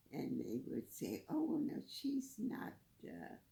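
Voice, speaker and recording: A woman is speaking. Her pace is very slow. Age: 80s+. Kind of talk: interview answer. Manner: slow, hesitant.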